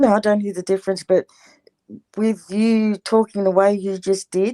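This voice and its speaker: In an Australian accent, this dark, mellow voice keeps a fairly even intonation, recorded with a dry, close sound and no echo. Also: woman. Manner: stuck up, prissy.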